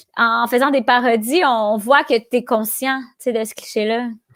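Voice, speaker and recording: A woman's high voice at a moderate pace with fairly even intonation, in a very clean recording with a silent background. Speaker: comedian. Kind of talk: casual chat.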